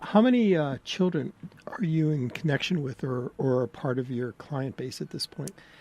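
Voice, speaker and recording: A man speaks with a fairly high pitch and lively intonation. Noticeable background noise is present. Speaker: radio host. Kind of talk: radio interview. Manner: fast.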